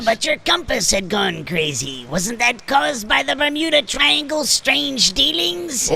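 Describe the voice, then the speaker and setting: A man puts on a character voice pitched extremely high, with very wide pitch swings, a moderate pace and hardly any pauses, over clear background noise. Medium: audio drama. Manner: eager, questioning.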